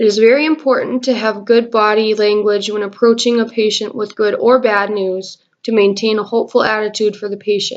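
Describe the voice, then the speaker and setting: A woman's fairly even intonation, with hardly any pauses. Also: fairly quick pace. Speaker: nursing student. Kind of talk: class presentation. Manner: reading from script.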